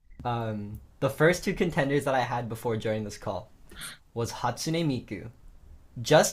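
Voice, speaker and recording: Here is a man with an American accent and lively intonation. He sounds somewhat breathy and keeps a moderate pace. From Los Angeles, US. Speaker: musician. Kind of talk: casual interview. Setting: video call. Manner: casual with many fillers.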